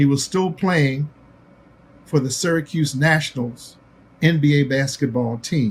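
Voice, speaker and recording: The speaker goes fairly slowly with long, frequent pauses, sounding somewhat breathy, with ordinary pitch variation and very even loudness. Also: man, fairly high pitch for a man. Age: 80s+. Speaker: basketball executive and broadcaster. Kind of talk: recorded tribute speech.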